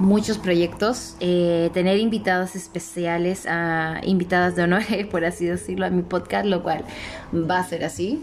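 Fairly even intonation at a fairly slow pace. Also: woman. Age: 30s. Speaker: podcast host. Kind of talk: casual monologue. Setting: living room at home. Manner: halting.

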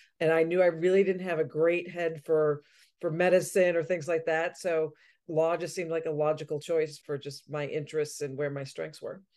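A woman with an American accent, fairly low-pitched with a dark, mellow tone, flat monotone intonation, moderate pace and a quiet background. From Massachusetts, Boston area. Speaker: legal operations director, attorney. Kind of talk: interview.

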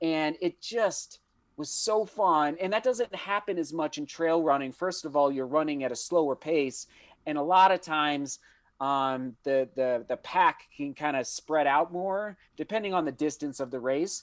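A man with an American accent uses a plain, everyday voice at a fairly high pitch. He speaks at a fairly slow pace with ordinary pitch variation, and the sound is dry and close with no echo. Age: 30s. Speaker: professional runner and running YouTuber. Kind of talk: casual interview chat. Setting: video call.

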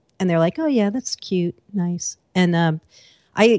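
A woman with a plain, everyday voice, fairly low in pitch with ordinary pitch variation, at a fairly quick pace in a dry, close sound with no echo. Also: quiet background. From Massachusetts. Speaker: tech journalist and podcaster. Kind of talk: casual interview.

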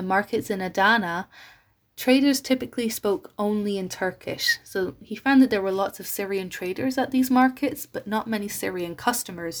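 The woman's voice is fairly high in pitch, with ordinary pitch variation. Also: very clean recording, silent background. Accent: Irish. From Ireland. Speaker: university student. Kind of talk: scripted talk.

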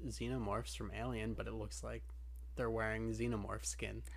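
A man's voice at a fairly quick pace, with audible room echo. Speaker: anime podcast co-host. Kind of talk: casual chat.

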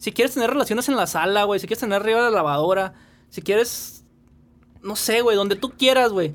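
High-pitched male speech, pitch moving in an ordinary way. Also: fairly quick pace. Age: 30s. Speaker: podcast co-host. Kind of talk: casual chat.

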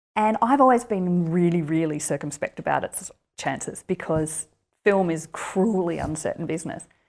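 Speaking at a moderate pace, a woman with an Australian accent has a fairly low pitch and ordinary pitch variation. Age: 40s. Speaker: writer and university lecturer. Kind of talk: interview.

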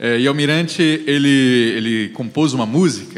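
At a moderate pace, a man talks with lively intonation and a fairly high pitch. Noticeable background noise runs underneath. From Brazil, Mato Grosso do Sul. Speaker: communication professor. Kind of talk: panel discussion.

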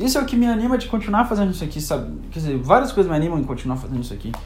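Noticeable background noise and audible room echo surround a man speaking at a high pitch. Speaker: podcaster. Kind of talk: monologue. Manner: melodramatic.

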